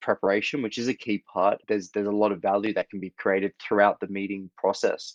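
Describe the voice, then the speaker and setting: A man in an Australian accent, fairly low in pitch, with a dry, close sound and no echo. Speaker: startup founder, former corporate attorney. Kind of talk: interview.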